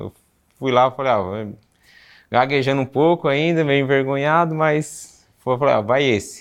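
This man has a plain, everyday voice, fairly high in pitch, with ordinary pitch variation. He talks at a moderate pace against a quiet background. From Brazil, São Paulo city. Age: 30s. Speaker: bricklayer. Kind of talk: interview.

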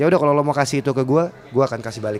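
A man talks at a very fast pace. His intonation stays fairly even over noticeable background noise. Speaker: film director. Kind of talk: interview.

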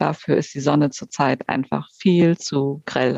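In dry, close sound with no echo, a woman talks with ordinary pitch variation. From Schleswig-Holstein, northern Germany. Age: 40s. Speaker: horse photographer, podcast host. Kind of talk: casual chat.

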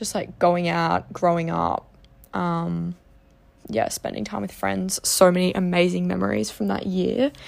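A woman speaks with an Australian accent at a fairly slow pace. The recording is very clean, with a silent background. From Australia, Geelong, Victoria. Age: 20s. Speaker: podcast host, psychology student. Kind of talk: casual monologue.

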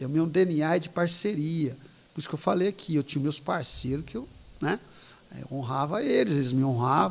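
Moderate pace, ordinary pitch variation and a normal speaking voice from a man pitched fairly high. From São Paulo state interior, Ribeirão Preto. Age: 50s. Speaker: pastor. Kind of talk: casual chat with life stories.

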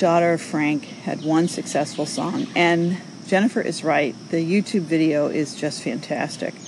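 A woman with an American accent and a fairly low pitch, over noticeable background noise. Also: ordinary pitch variation, moderate pace. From New York. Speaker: social audio show host. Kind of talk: casual chat responding to callers.

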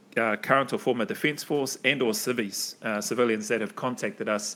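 A man speaks at medium pitch with a New Zealand accent. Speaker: podcast host, former special forces soldier. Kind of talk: casual chat; scripted intro.

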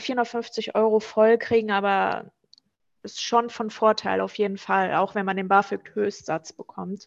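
In a fairly high pitch, a woman speaks at a moderate pace with monotone, flat intonation over a quiet background. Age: 30s. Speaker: student finance advisor. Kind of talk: informational interview.

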